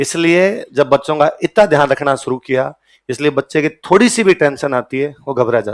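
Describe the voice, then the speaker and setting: A man's animated tone with lively intonation. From Rajasthan, Ganganagar canal belt (Bikaner district). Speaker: coaching teacher. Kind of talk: lecture.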